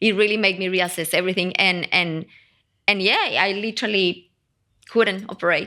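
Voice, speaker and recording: With a bright, sharp tone and a fairly low pitch, a woman speaks at a moderate pace with ordinary pitch variation on a very clean recording with a silent background. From Colombia. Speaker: personal branding expert. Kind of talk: interview. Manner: animated.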